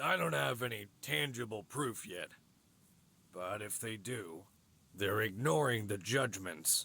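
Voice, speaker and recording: In a raspy, put-on character voice, a man speaks at a fairly low pitch and fairly slow pace with long, frequent pauses. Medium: game stream. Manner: authoritative, condescending.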